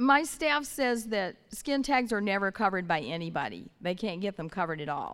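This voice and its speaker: Hardly pausing, a woman with an American accent speaks at a moderate pace and medium pitch, making very wide pitch swings. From Northern California. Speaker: audience member asking questions.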